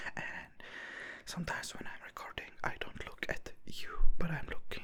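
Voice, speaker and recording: A whispering man over noticeable background noise. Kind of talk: ASMR whispered ramble to camera. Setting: studio, close microphone. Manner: whispered, soft-spoken, slow.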